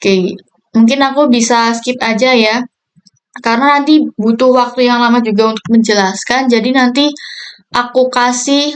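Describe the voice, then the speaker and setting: A woman talks at a moderate pace in a high voice. Her intonation stays fairly even. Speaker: university student. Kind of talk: tutorial. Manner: casual.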